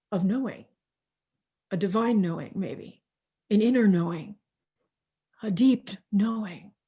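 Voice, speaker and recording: Calm and somewhat breathy, the voice has a dark, mellow tone and ordinary pitch variation. It moves at a fairly slow pace with long, frequent pauses. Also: woman, medium pitch for a woman. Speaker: minister. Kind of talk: guided breathing in a sermon. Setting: video call. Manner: slow, calm.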